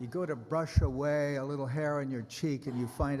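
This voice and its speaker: A man at a medium pitch and moderate pace, with audible room echo. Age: 80s+. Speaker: preacher. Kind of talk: sermon. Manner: conversational, humorous asides.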